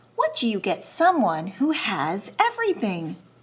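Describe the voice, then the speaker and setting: A woman's put-on character voice, fairly high in pitch, at a moderate pace. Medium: read story. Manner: gentle, musing.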